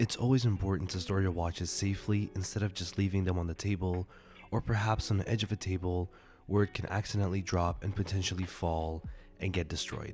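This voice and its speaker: A man's very deep, low voice, somewhat breathy, at a fairly quick pace with fairly even intonation. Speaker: watch reviewer. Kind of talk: tutorial.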